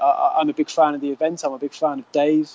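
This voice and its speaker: At a fairly quick pace, a man talks in an unremarkable speaking voice, fairly high in pitch with ordinary pitch variation. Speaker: collector, forum member. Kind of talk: interview.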